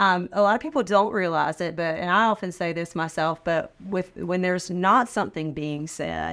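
On a very clean recording with a silent background, a woman with an American accent and a plain, everyday voice speaks at a moderate pace with fairly low pitch and fairly even intonation. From North Carolina (Sanford). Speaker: manufacturing training executive. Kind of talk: interview.

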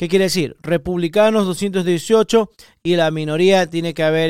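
A man's high-pitched voice with an animated tone. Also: very clean recording, silent background. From Ecuador. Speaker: executive protection specialist and podcaster. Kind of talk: solo podcast monologue.

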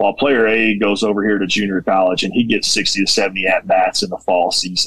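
A man speaks in a plain, everyday voice with an American accent and fairly even intonation. The sound is dry and close with no echo. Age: 30s. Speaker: junior college baseball head coach. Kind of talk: casual interview.

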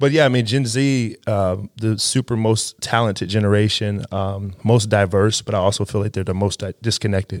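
In an ordinary speaking voice, a man talks at a moderate pace and fairly low pitch, with fairly even intonation and hardly any pauses, in a very clean recording with a silent background and a dry, close sound with no echo. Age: 30s. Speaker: youth pastor. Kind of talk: casual chat.

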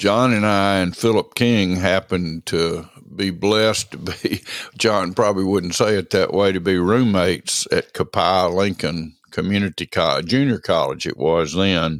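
A man's fairly low voice, with ordinary pitch variation, has a dry, close sound with no echo on a very clean recording with a silent background. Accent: Southern US. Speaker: eulogist and friend. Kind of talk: eulogy, warm and reverent tribute to a late friend, with affectionate anecdotes. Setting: recorded late at night, alone. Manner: slow, reflective, sentimental, with halting pauses and repeated phrases; heartfelt and solemn, unhurried, ending in cadenced repetition.

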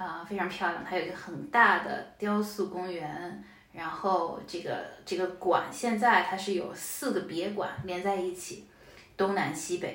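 A woman with a medium-pitched voice speaks at a fairly slow pace with fairly even intonation. There is audible room echo and noticeable background noise. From Shanghai, China. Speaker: data professional. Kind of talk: casual interview.

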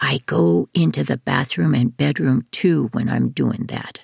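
A man puts on a quiet, growling character voice at medium pitch, speaking at a fairly slow pace with very wide pitch swings. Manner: conspiratorial, hushed.

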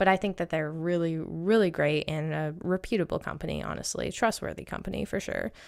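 With an American accent, a woman speaks at a fairly quick pace with hardly any pauses, in a very clean recording with a silent background. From Maine, US. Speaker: podcast host and travel agent. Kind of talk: casual solo podcast talk.

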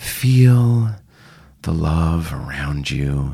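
The speaker uses a put-on character voice pitched very deep and low. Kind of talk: affected, soothing spiritual tone. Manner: dreamy.

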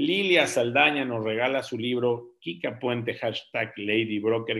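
The speech carries vocal fry. It moves at a fairly slow pace. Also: man. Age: 50s. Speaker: real estate forum host. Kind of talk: live video forum chat. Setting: video call. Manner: animated.

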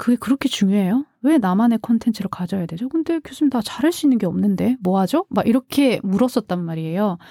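A woman speaks at a fairly quick pace with a fairly high pitch and a dark, mellow tone. The sound is dry and close, with no echo. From South Korea, outside Seoul. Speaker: podcast producer and former radio broadcaster. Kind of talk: casual interview conversation. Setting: studio.

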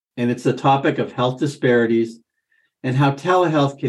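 With an American accent, a man speaks at a moderate pace and medium pitch, his pitch varying in an ordinary way. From Vermont, US. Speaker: podcast host and physician. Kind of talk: interview.

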